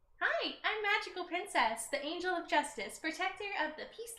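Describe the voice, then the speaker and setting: An extremely high-pitched, put-on character voice at a fairly quick pace. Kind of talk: convention character voice. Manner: earnest heroic.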